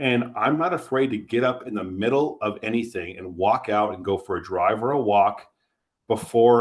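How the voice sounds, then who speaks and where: On a very clean recording with a silent background, a man with a plain, everyday voice speaks at a fairly low pitch, showing ordinary pitch variation and big swings in loudness. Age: 40s. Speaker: insurance agency co-owner. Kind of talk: podcast interview. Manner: conversational, with frequent false starts.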